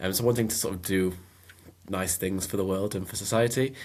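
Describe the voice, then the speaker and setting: On a very clean recording with a silent background, a man with a Mancunian accent and a very deep, low pitch speaks with fairly even intonation. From northern England, Manchester. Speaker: writer and filmmaker. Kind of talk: podcast interview. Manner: hesitant, many fillers.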